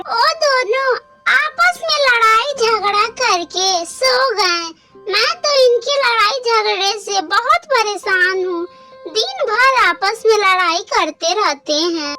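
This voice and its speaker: A female-sounding cartoonish character voice speaks at an extremely high pitch and a very slow pace. Faint music plays in the background. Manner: motherly, gentle.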